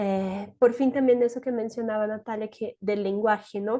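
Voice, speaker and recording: The speech comes at a fairly quick pace in a monotone, flat intonation. The background is quiet. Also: woman. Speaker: human rights advocate. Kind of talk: panel discussion. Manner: fast.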